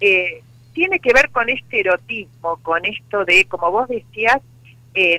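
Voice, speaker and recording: An unremarkable speaking voice from a woman at medium pitch, fairly slow, with lively intonation. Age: 60s. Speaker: psychologist and sex therapist. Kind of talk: interview.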